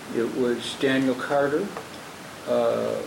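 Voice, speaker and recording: The speaker talks with an American accent. Audible room echo and noticeable background noise are present. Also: man. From Wisconsin, US Midwest. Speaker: jazz drummer and band leader. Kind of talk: casual interview. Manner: halting, many fillers.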